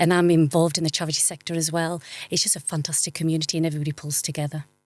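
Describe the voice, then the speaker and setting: Music plays in the background as a woman speaks very fast in a monotone, flat intonation. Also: fairly low pitch for a woman. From West Cumbria, England (Whitehaven). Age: 40s. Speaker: interview guest, HIV advocate. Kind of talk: interview.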